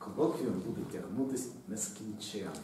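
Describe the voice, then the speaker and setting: Audible room echo and light background noise are present. The man speaks at a medium pitch. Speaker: university lecturer. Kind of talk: lecture. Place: classroom. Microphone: camera far.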